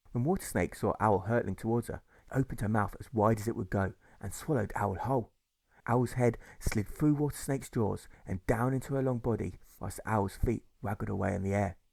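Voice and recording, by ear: Speaking at a moderate pace, a man has fairly low pitch, a slightly mellow tone, vocal fry and ordinary pitch variation.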